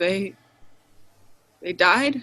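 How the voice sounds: A woman's put-on character voice, bright and sharp in tone, at a medium pitch with lively intonation and a very slow pace.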